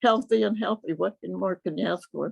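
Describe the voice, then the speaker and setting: Talking at a very fast pace in an American accent, a woman uses lively intonation, a fairly low pitch and vocal fry. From US Midwest, North Dakota. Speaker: WWII factory veteran. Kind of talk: testimony. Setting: video call. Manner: halting.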